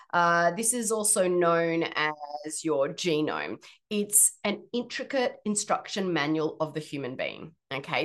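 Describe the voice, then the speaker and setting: Against a quiet background, a woman with an Australian accent speaks at a fairly slow pace with a fairly low pitch and ordinary pitch variation. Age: 40s. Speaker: podcast host and health practitioner. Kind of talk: solo podcast explainer.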